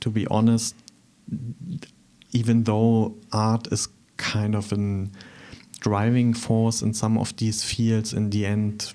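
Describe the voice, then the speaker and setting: With a German accent, a man speaks in a dark, mellow, fairly low voice at a very slow pace. His intonation is monotone and flat, with long, frequent pauses. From eastern Germany, Thuringia. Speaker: artist. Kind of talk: interview. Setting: studio.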